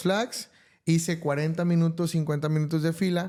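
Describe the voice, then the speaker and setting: A man talks at a moderate pace in a fairly high pitch with a dark, mellow tone, captured on a very clean recording against a silent background. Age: 30s. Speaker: podcast guest, math teacher and musician. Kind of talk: interview conversation. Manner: hesitant, many fillers.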